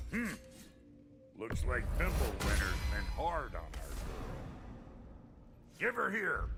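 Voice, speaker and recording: A man uses a gruff, put-on character voice at a very slow pace with long, frequent pauses. Loud background noise runs behind him. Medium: video game. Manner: gruff, crude.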